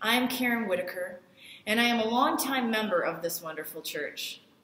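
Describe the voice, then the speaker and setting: A woman is heard with audible room echo. Light background noise sits underneath. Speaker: guest. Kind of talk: church welcome address. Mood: warm, welcoming. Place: home room. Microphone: phone near.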